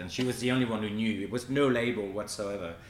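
With a French accent, this man talks at a fairly quick pace and shows ordinary pitch variation. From France, Brittany. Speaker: pastry chef. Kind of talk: casual chat. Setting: studio.

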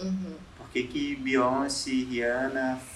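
Through noticeable background noise and audible room echo, a man at medium pitch speaks with fairly even intonation. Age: 20s. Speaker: designer. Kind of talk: casual chat. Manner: halting.

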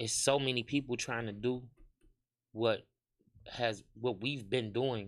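A man's medium-pitched voice at a fairly slow pace on a very clean recording with a silent background. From Harvey, Illinois (Chicago area). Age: 30s. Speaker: club host and event promoter. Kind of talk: casual interview.

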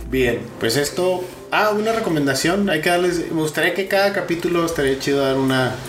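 A man with a northern Mexican accent talks at a fairly quick pace in a high pitch, with ordinary pitch variation and very even loudness, over noticeable background noise and audible room echo. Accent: northern Mexican (Sonoran) Spanish. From Mexico, Sonora. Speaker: podcast co-host. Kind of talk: casual chat. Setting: home.

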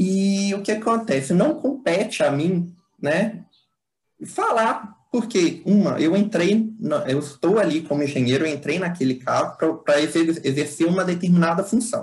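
The man's voice is high in pitch and lively in intonation. He speaks fairly slowly. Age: 20s. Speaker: civil engineer and public servant. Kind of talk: interview answers. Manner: halting, many fillers and repetitions.

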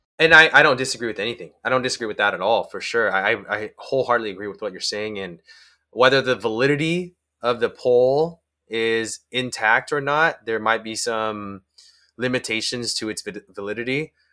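A man with a medium-pitched voice talks at a fairly quick pace in a bright, sharp tone, with ordinary pitch variation and big swings in loudness. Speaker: podcast host, therapist. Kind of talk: casual chat. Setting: video call. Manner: calm.

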